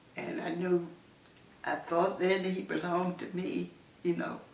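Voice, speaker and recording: A woman talks at a very slow pace while noticeable background noise carries on behind her. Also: long, frequent pauses. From Southern United States. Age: 80s+. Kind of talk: interview answer.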